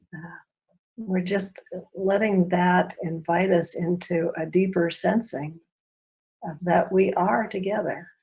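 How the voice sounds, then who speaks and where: Somewhat breathy, a woman talks at a fairly slow pace in a fairly low pitch with fairly even intonation. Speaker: workshop facilitator. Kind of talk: guided experiential workshop. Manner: slow, pausing.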